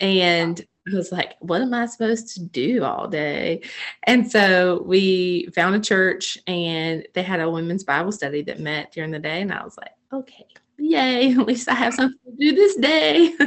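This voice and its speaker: A woman with an American accent speaks in an ordinary speaking voice at medium pitch. Her intonation is lively, with big swings in loudness. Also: moderate pace. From North Carolina, small town. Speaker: ministry coordinator and army wife. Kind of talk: casual faith chat.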